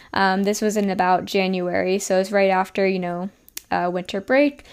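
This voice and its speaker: The speaker has a New Jersey accent. The pace is moderate. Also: woman. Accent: New Jersey American. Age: 20s. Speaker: podcast host and health coach. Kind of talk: casual personal storytelling.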